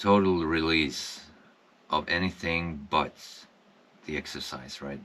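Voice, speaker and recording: Here a man speaks at a very slow pace. His pitch is very deep and low. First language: Swedish. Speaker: wellness vlogger, former construction worker. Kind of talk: personal reflection monologue. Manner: halting, many fillers.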